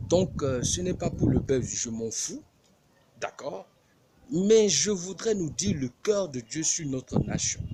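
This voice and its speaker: Very slowly, a man speaks at a fairly high pitch, his voice swinging very widely up and down. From Benin. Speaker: preacher. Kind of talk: sermon. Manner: animated.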